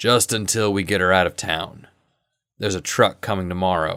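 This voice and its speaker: A man's put-on character voice, raspy and very deep, at a moderate pace with fairly even intonation, in a very clean recording with a silent background. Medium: read story. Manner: steady, authoritative.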